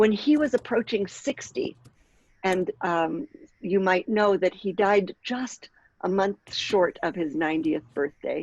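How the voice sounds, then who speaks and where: In a plain, everyday voice of medium pitch, a woman speaks at a fairly slow pace with lively intonation and a dry, close sound with no echo. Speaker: rabbi and workshop facilitator. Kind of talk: online workshop talk.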